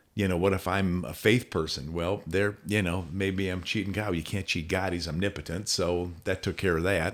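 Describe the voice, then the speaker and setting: A man speaks with a very deep, low pitch and fairly even intonation, hardly pausing at all, on a very clean recording with a silent background. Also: moderate pace. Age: 70s. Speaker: program founder. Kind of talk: podcast conversation.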